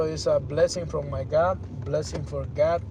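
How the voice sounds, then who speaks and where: The speaker has a non-native accent and an animated tone. Noticeable background noise and audible room echo are present. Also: man. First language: not English. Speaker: YouTuber, livestream host. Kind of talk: casual livestream talk, motivational and religious. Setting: YouTube live stream. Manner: animated, repetitive.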